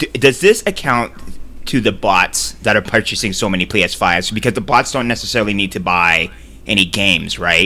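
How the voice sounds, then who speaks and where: Vocal fry in a man's fairly low voice, moderately paced, its pitch varying in an ordinary way. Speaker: podcast host. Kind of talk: casual chat about video games. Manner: rambling, halting.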